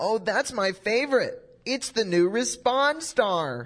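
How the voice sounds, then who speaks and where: A female-sounding put-on character voice with a fairly high pitch moves at a fairly slow pace. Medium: audio drama. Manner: eager, chipper.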